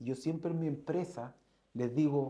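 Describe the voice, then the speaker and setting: Speaking fairly slowly with a Chilean accent, a man has a fairly high, somewhat breathy voice with ordinary pitch variation. His tone is dark and mellow. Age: 50s. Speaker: entrepreneur, company founder. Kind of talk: interview conversation.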